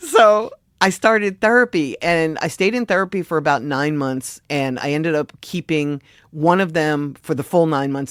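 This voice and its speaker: With an American accent, a woman talks in an animated tone at a very deep, low pitch with ordinary pitch variation, the sound dry and close with no echo. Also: very clean recording, silent background. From Philadelphia suburbs, US. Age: 60s. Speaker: music industry advocate. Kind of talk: interview.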